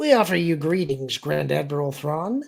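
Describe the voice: Putting on a character voice, a man sounds nasal and fairly high-pitched as he speaks at a moderate pace.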